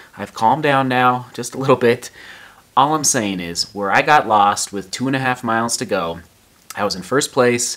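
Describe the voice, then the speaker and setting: A man talks, and his pitch varies in an ordinary way. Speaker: runner vlogger. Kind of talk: casual vlog chat. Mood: frustrated but calmed down. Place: home room. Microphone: phone near.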